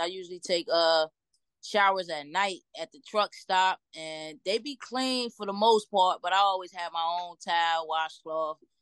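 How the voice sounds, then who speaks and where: A woman with an American accent and a plain, everyday voice speaks at medium pitch and a moderate pace, the sound dry and close with no echo. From Trenton, New Jersey. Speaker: truck driver. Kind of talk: casual interview.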